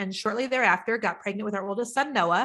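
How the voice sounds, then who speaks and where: Over a quiet background, a woman with a Midwestern US accent speaks very fast in a bright, sharp, animated tone, with a fairly high pitch and ordinary pitch variation. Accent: US Midwest. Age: 50s. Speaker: business coach. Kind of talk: interview.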